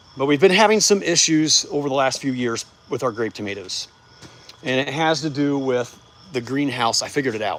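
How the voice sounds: A man speaks at a moderate pace and medium pitch. His tone is fairly bright, with lively intonation.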